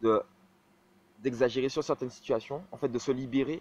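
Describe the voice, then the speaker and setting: A man speaks at medium pitch with a dry, close sound that has no echo. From Martinique. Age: 20s. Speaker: vlogger. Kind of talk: personal vlog monologue.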